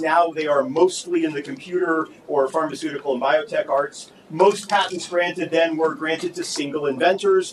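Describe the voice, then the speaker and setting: A man talks loudly in a high pitch at a moderate pace. His pitch varies in an ordinary way, with noticeable background noise behind him. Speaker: law professor. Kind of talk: conference panel talk.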